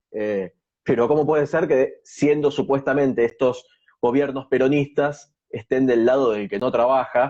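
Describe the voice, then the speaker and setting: A man with an Argentine accent talks in a dark, mellow tone with ordinary pitch variation. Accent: Argentine Spanish (Rioplatense). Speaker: social media interviewer. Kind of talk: interview. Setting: video call.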